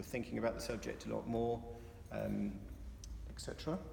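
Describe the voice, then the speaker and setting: There is audible room echo as a man speaks with an English accent. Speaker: campaigner. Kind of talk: informal talk. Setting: meeting hall with audience. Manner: fast; halting, many fillers.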